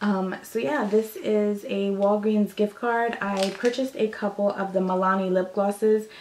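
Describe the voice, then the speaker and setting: A woman's medium-pitched voice at a moderate pace, with fairly even intonation, hardly any pauses and noticeable background noise. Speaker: beauty vlogger. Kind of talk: casual show-and-tell vlog. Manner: casual, chatty; lowered voice, quieter.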